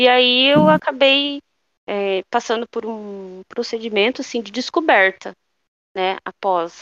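A woman talks with lively intonation at a fairly slow pace. The sound is dry and close with no echo, over a quiet background. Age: 30s. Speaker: former flight attendant, mother. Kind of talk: casual interview chat. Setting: at home, remote call.

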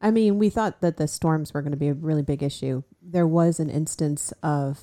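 A soft-spoken woman's voice, very deep and low in pitch, with a dark, mellow tone. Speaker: guest co-host, runner's wife and crew chief. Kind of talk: casual interview; heartfelt advice. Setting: studio.

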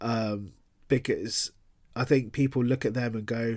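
Recorded very cleanly against a silent background, a man speaks with a London accent. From London, England. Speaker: author. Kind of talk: interview. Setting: podcast interview. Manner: casual, filler-heavy.

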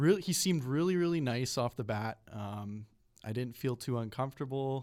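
An unremarkable speaking voice at a moderate pace, with ordinary pitch variation, on a very clean recording with a silent background. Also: man. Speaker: guest sharing harassment experience. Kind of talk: casual interview.

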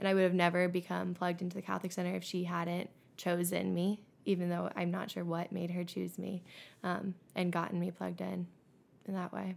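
A woman at a fairly quick pace, in a very clean recording with a silent background. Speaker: college student leader. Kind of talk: casual chat.

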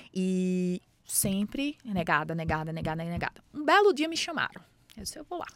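A woman with a northeastern Brazilian accent speaks at a moderate pace and medium pitch, her intonation lively. The sound is dry and close with no echo. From Brazilian Northeast, Mossoró, Rio Grande do Norte. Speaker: startup founder and CEO. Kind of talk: interview.

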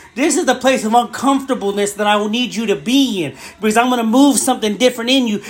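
The speech races along at a very fast pace while noticeable background noise carries on behind it. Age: 40s. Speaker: podcast preacher. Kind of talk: fervent one-person podcast sermon, exhorting listeners directly. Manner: halting, self-correcting with fillers and restarts; impassioned, urgent pleading with repeated 'I want' phrases.

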